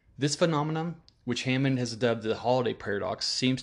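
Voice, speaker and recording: Against a quiet background, a man with an American accent talks at a fairly quick pace in a medium pitch with ordinary pitch variation. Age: 30s. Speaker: podcast host. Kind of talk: casual monologue.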